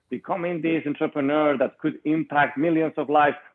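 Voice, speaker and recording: A man with a Spanish accent talks at a fairly quick pace. His pitch is fairly high. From Spain, Madrid. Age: 20s. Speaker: entrepreneur and author. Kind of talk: interview.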